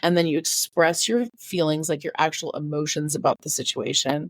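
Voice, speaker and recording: A normal speaking voice with an American accent talks at a moderate pace. The sound is dry and close, with no echo. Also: woman. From California. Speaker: author and DBT skills advocate. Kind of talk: podcast interview, casual chat.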